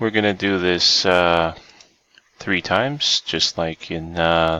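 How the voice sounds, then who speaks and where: A quiet man speaks at a very slow pace in a very deep, low pitch, with a dry, close sound and no echo. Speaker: online giveaway host. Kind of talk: live stream giveaway drawing. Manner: quiet, hushed.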